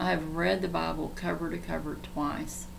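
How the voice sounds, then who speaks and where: The speech moves at a fairly slow pace. Room echo is audible, and background noise is noticeable. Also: woman. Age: 60s. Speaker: online Bible teacher. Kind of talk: livestream Bible teaching.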